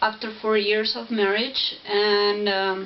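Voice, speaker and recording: In a non-native accent, a woman speaks at a fairly high pitch with monotone, flat intonation, amid noticeable background noise and audible room echo. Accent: foreign. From Spain, then Italy from age eleven. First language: Spanish. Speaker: YouTuber. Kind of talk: casual vlog Q&A. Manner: halting.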